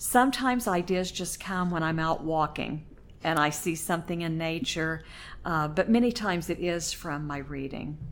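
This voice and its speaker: A woman with an American accent, a normal speaking voice, fairly low pitch, ordinary pitch variation and a moderate pace. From Oklahoma. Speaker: poet, retired English teacher. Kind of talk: interview.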